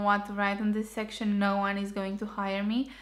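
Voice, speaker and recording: A woman with a Romanian accent at medium pitch and a moderate pace, with monotone, flat intonation. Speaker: architecture graduate vlogger. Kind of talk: tutorial.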